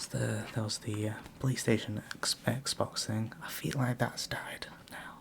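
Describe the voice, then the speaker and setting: Someone whispers in a gentle tone at a very slow pace. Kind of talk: ASMR whispered questions, rambling casual talk to camera. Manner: soft-spoken, gentle, rambling, conversational.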